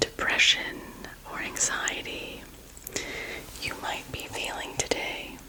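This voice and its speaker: Over noticeable background noise, a woman whispers in a gentle tone at a very slow pace. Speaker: reiki energy healer. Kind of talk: ASMR energy healing roleplay. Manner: soft-spoken, gentle.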